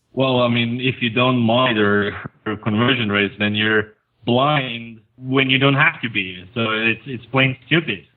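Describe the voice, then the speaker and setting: A man speaks with a non-native accent at a medium pitch. His pace is fairly slow and his intonation fairly even. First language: not English. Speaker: conversion optimization expert, blogger. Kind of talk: podcast interview.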